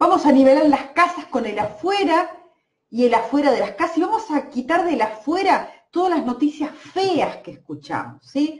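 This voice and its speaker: A woman speaks with an Argentine accent and a high pitch. Her intonation is lively. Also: moderate pace. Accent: Argentine Spanish (rioplatense voseo). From Argentina, Santa Fe province. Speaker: energy healer and therapist. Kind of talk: live-stream energy healing session. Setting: Facebook live stream. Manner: hesitant, many fillers.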